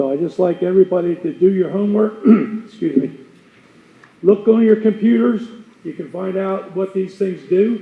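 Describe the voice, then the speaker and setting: This man's voice is high for a man and loud, moving at a moderate pace with long, frequent pauses. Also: ordinary pitch variation. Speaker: resident speaking at public comment. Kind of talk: public comment. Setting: county board meeting room with audience.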